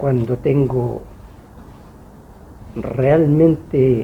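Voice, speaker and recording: This is a man speaking. His intonation is lively. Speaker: author. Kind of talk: book launch talk. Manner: halting.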